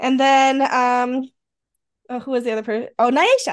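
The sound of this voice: A high-pitched woman with a slight western New York accent, at a moderate pace over a quiet background. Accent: Rochester, western New York, slight.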